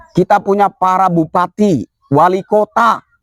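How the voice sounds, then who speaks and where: At a fairly slow pace, a man speaks in a high voice with ordinary pitch variation, the sound dry and close with no echo. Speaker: activist commentator. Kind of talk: political commentary monologue. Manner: loud.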